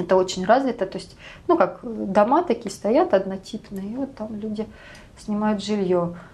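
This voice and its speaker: A woman speaks in a calm tone at a medium pitch, somewhat breathy. Her pace is moderate and her intonation lively. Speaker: emigrant sharing life abroad. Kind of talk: interview.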